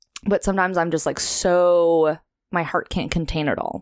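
Using an ordinary speaking voice with an American accent, a woman speaks at a fairly quick pace, the sound dry and close with no echo. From Los Angeles, San Fernando Valley. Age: 20s. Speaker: therapist and musician. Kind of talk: casual chat.

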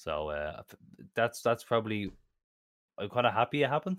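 Recorded very cleanly against a silent background, a man speaks at a very fast pace with a dry, close sound and no echo. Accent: Irish. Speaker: co-host. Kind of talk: casual chat.

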